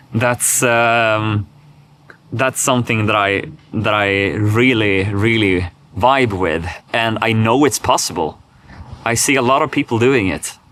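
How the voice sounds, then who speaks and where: Speaking in a Swedish accent at a medium pitch, a man talks at a fairly slow pace with long, frequent pauses. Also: ordinary pitch variation. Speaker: vlogger. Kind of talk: unscripted personal vlog monologue. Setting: talking alone to camera. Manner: halting, many repetitions and fillers.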